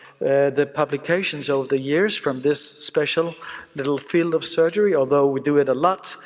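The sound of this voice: A man with a fairly high pitch speaks at a moderate pace, his pitch varying in an ordinary way.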